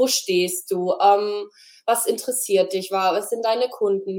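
A plain, everyday voice from a woman, medium in pitch, at a fairly slow pace. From Freiburg, southwestern Germany. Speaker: graphic designer. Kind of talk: interview.

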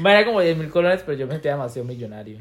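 Talking at a very fast pace with lively intonation, a man with a Costa Rican accent sounds somewhat breathy. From Costa Rica, Limón. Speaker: podcast co-host. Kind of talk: casual chat.

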